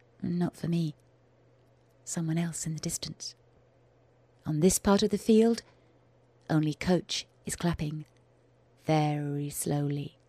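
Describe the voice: In a put-on character voice, a woman speaks low with a dark, mellow tone and a slightly husky edge, keeping fairly even intonation at a slow pace with long, frequent pauses, in a dry, close sound with no echo.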